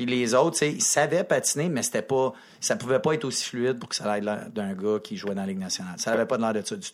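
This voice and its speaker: Very wide swings in pitch at a very fast pace. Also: man, medium pitch for a man. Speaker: hockey coach. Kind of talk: casual chat.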